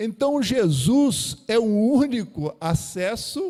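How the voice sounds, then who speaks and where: A man speaks with lively intonation. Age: 60s. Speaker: preacher. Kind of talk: sermon.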